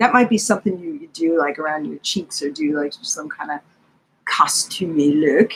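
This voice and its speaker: Speaking at a moderate pace, a woman sounds somewhat breathy. Her pitch swings very widely. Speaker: beauty YouTuber doing a livestream. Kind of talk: live makeup review and chat. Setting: livestream at home. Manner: animated, excited; quiet at times.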